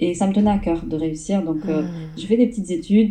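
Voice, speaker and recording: The woman talks fairly quickly. Her pitch shows ordinary variation. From southern France. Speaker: entrepreneur and business coach. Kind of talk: interview.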